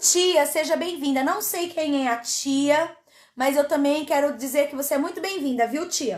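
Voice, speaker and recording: A woman with a high pitch speaks in an animated tone with ordinary pitch variation. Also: fairly slow pace. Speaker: pastor. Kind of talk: sermon.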